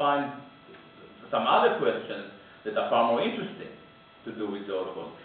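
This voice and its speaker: Strong room echo and light background noise surround a man speaking at a fairly high pitch. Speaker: political speaker. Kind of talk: public talk with Q&A. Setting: room with audience. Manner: halting. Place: meeting room.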